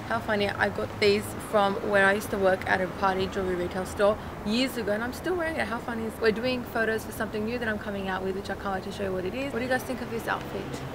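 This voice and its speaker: A woman with an Australian accent at a medium pitch and very fast pace, ordinary pitch variation, audible room echo and noticeable background noise. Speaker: beauty vlogger. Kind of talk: casual vlog.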